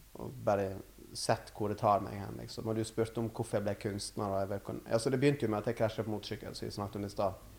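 A man with a fairly low voice and vocal fry talks at a very fast pace, his intonation fairly even. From western Norway, Førde in Sunnfjord. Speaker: artist and gallery owner. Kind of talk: casual interview. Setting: artist's studio.

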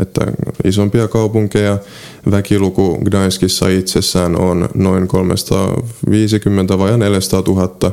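With a Polish accent, a man speaks very slowly in a very deep, low, monotone voice at very even loudness, over noticeable background noise. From Finland, South Ostrobothnia (Seinäjoki). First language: Polish (speaking Finnish). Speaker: travel writer and medical student. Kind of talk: interview. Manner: halting.

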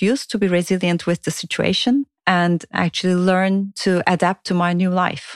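Recorded very cleanly against a silent background, a woman speaks with a Turkish accent at a moderate pace. Her pitch is medium, and the sound is dry and close with no echo. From Turkey. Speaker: play expert and futurist. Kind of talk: personal narration with demonstrations.

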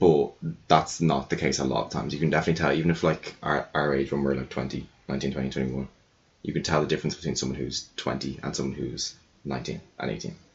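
Speaking in an Irish accent with vocal fry, the voice moves at a fairly quick pace in a monotone, flat intonation. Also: man, very deep, low pitch for a man. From Ireland. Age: 20s. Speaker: podcast guest. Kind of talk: casual chat.

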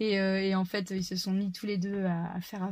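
With a dark, mellow tone, a woman talks at a moderate pace and medium pitch, sounding somewhat breathy. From France, Touraine. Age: 30s. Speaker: farmer. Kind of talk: casual chat.

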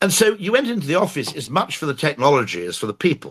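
A man with an English accent and vocal fry, at a moderate pace. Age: 50s. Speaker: advertising executive. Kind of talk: casual chat. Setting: live audio room.

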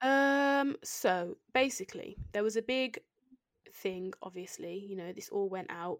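Lively intonation in a British accent at a fairly slow pace, dry and close with no echo. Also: woman, medium pitch for a woman, big swings in loudness. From England. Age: 20s. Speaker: guest educator. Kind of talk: educational chat. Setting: remote recording with own microphones.

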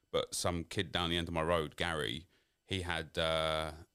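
The recording is very clean, with a silent background. A man speaks in a South London accent. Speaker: YouTube creator. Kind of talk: interview.

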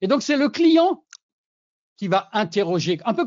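A man's fairly slow delivery with lively intonation. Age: 60s. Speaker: sales expert and forum founder. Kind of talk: interview.

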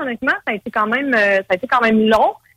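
A woman speaks in an ordinary speaking voice, fairly high-pitched, with ordinary pitch variation and a dry, close sound that has no echo. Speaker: dating service entrepreneur. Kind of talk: casual interview.

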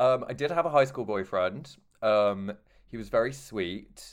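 A man talks with a slight southern English accent. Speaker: podcast host. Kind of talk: casual chat.

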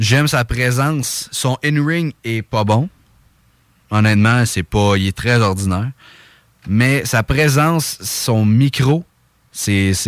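A man's medium-pitched voice with lively intonation at a very slow pace, in a dry, close sound with no echo. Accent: Quebec. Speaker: wrestling podcast host. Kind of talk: casual chat. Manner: animated.

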